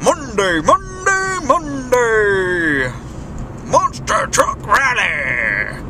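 Over loud background noise, a man puts on a character voice.

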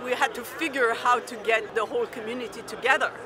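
Background noise is noticeable in this dry, echo-free recording of a woman talking at a moderate pace with ordinary pitch variation. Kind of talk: interview answer. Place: street.

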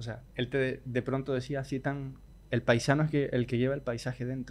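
A man at a medium pitch and a fairly quick pace, with monotone, flat intonation. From Chile. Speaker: podcast host and flamenco guitar teacher. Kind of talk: casual interview chat. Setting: hotel.

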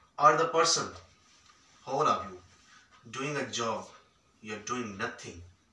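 A man's lively intonation with audible room echo. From Pakistan, rural Punjab (Khanewal); Punjab, Pakistan. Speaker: entrepreneur and business mentor; guest. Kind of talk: fireside chat interview. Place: hall.

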